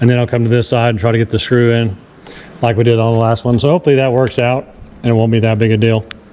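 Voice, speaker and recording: Against noticeable background noise, a man at medium pitch speaks at a very fast pace with monotone, flat intonation and very even loudness. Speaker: boat DIY youtuber. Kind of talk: tutorial. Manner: casual, halting.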